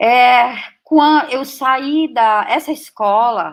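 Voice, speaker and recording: A woman is speaking. She has a German accent. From Brazil, German-speaking family. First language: German (speaking Portuguese). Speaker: professor. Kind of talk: interview testimony. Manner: halting.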